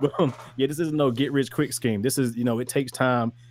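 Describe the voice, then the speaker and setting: A man delivers his words fairly quickly with music playing behind him. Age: 20s. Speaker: music producer. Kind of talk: casual podcast chat. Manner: halting, repetitive.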